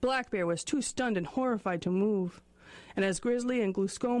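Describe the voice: Ordinary pitch variation in plain reading aloud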